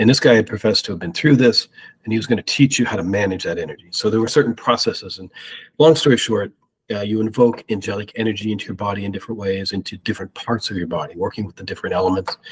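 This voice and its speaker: A man's fairly low, somewhat breathy voice with an American accent, very fast in pace, with ordinary pitch variation and big swings in loudness. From US Midwest, Ohio. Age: 50s. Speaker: spiritual experiencer. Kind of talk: testimony.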